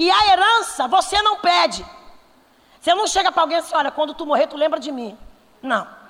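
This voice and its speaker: An extremely high-pitched woman speaks at a fairly quick pace with lively intonation, an animated tone and big swings in loudness. Long, frequent pauses break up her speech over noticeable background noise. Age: 40s. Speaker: pastor. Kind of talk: sermon.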